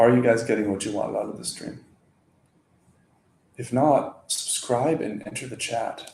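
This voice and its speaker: A man at medium pitch speaks with long, frequent pauses and big swings in loudness, with audible room echo around him. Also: ordinary pitch variation, moderate pace. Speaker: crypto community livestreamer. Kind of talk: casual livestream chat. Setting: livestream.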